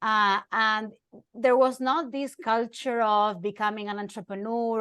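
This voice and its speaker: A woman with an Argentine accent speaks at a fairly slow pace and fairly high pitch. Her intonation stays fairly even against a quiet background. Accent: foreign accent (Argentine Spanish). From Argentina. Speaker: journalist and keynote speaker. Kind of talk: interview.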